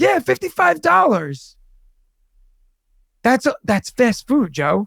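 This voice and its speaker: Very slowly, a man speaks at a high pitch with very wide pitch swings, the sound dry and close with no echo. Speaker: comedian and podcast co-host, high school teacher. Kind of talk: casual chat. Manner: animated.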